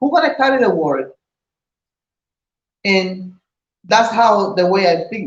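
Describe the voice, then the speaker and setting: At a fairly slow pace, a woman with a medium pitch sounds somewhat breathy and uses lively intonation. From Puerto Rico. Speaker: vlogger, wife of channel owner. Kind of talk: casual chat.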